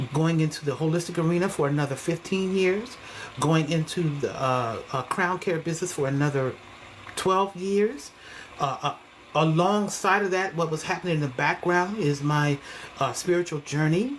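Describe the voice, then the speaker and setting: A woman with a fairly low pitch speaks at a moderate pace with ordinary pitch variation and very even loudness, against noticeable background noise. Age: 60s. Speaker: hair stylist and online creator. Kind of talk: casual monologue vlog. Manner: animated.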